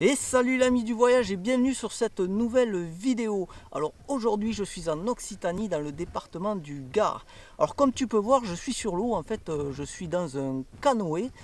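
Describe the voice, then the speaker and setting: At a fairly slow pace, a man speaks with lively intonation and a high pitch. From southwest France, Toulouse. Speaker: travel vlogger. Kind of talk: casual travel vlog. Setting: outdoors, in a canoe on a river. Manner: hesitant, many filler sounds.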